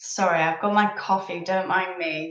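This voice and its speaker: A woman talks at a very slow pace with a medium pitch and ordinary pitch variation. Audible room echo surrounds her voice. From northern England, Leeds, Yorkshire. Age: 30s. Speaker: live streamer. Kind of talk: casual chat. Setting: live stream. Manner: chatty, hesitant with many ums.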